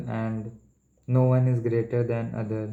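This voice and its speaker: A man speaks at a medium pitch in an Indian accent. His tone is dark and mellow, and his intonation is flat and monotone. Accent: Indian English, Hindi-speaking. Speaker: medical entrance exam student. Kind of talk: casual study vlog talk to camera. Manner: stuttering, hesitant.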